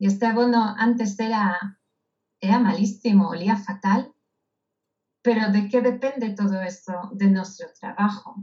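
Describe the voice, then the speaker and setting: Speaking at a fairly slow pace with long, frequent pauses, a woman uses a medium pitch and fairly even intonation. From Israel. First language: Hebrew (speaking Spanish). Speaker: speaker and author. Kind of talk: interview.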